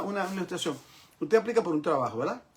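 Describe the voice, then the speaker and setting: Lively intonation marks this man's speech. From New York, Bronx. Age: 70s. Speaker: pastor. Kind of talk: lecture. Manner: repetitive, emphatic.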